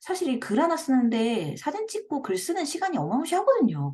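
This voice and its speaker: A woman with a dark, mellow tone and vocal fry talks at a fairly quick pace, her pitch swinging very widely. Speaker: blogging coach, parenting blogger. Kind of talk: tutorial. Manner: speeds up when excited.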